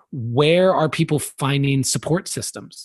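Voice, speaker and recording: A man with a fairly high, slightly breathy voice talks fairly slowly, his pitch varying in an ordinary way. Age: 30s. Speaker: poet and personal development speaker. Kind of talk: casual chat.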